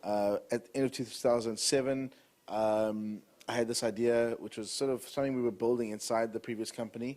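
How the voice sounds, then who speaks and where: On a very clean recording with a silent background, a man speaks with a South African accent. His medium-pitched voice moves at a fairly quick pace with fairly even intonation. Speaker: entrepreneur. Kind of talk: talk to an audience.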